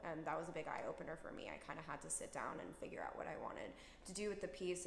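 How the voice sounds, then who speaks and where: There is noticeable background noise in this clip. A woman speaks at a fairly low pitch. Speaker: singer-songwriter. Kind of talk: interview answer.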